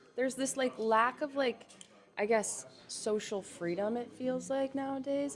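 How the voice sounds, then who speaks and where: A woman's pitch moves in an ordinary way while noticeable noise carries on behind her. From US South, Atlanta. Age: 20s. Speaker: museum worker. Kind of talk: casual chat. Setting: storefront window pop-up. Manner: animated.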